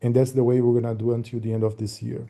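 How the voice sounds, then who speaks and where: This man has a dark, mellow tone. His voice is somewhat breathy. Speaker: meeting moderator and presenter. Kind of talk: online business meeting presentation. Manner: fast; hesitant with fillers.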